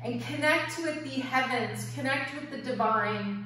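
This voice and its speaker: A woman's voice carries strong room echo. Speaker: yoga teacher. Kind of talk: guided yoga and meditation class. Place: home room. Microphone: camera far.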